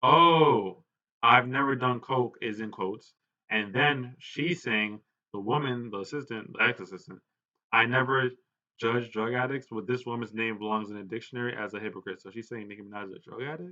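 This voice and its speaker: At a fairly quick pace, a man speaks at medium pitch with ordinary pitch variation and big swings in loudness. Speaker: celebrity gossip commentator. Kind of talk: reading and reacting to social media posts. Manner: fast.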